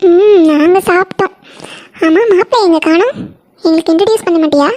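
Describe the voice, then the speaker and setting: A woman uses a cartoonish character voice at an extremely high pitch and a moderate pace. Her loudness stays very even, and the sound is dry and close with no echo. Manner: chatty, friendly.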